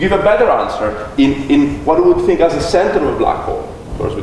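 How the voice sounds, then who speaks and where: A man's very fast speech with audible room echo and noticeable background noise. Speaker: physicist giving public lecture. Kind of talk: Q&A answer at public lecture. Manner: loud; hesitant, repeats words.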